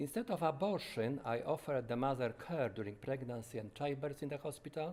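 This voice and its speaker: A man with a Polish accent speaks at a medium pitch and a moderate pace. His tone is dark and mellow, with ordinary pitch variation. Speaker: doctor. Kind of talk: testimony. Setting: conference. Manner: halting, with frequent self-corrections.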